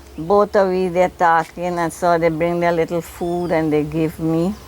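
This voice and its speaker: A woman with a fairly low voice talks at a fairly slow pace over noticeable background noise. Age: 60s. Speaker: crime victim. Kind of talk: news interview testimony.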